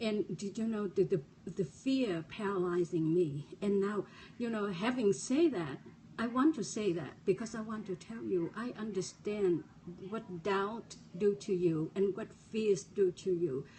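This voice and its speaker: A woman with a non-native accent, medium-pitched and lively in intonation, speaking fairly slowly over noticeable background noise. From refugee, resettled abroad. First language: not English. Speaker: motivational speaker. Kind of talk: motivational talk. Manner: halting, repeated words.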